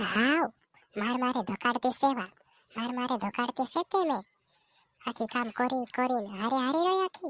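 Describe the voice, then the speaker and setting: In a dry, close sound with no echo, a woman uses a high-pitched cartoonish character voice with lively intonation at a moderate pace. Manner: repetitive, complaining.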